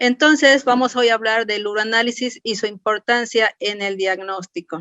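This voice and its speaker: Speaking at a moderate pace, this woman has an unremarkable speaking voice, pitched fairly high and varying in an ordinary way. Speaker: clinical chemist. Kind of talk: lecture. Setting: webinar.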